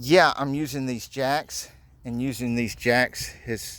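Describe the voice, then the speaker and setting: Very slowly, a man talks in a medium-pitched voice whose pitch varies in an ordinary way. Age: 50s. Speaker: DIY builder. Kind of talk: tutorial. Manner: casual, conversational.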